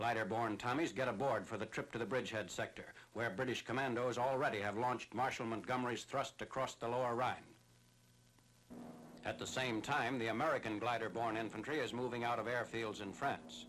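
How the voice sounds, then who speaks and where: Speaking at a fairly quick pace, a man with a plain, everyday voice keeps a medium pitch and fairly even intonation. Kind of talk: wartime newsreel narration.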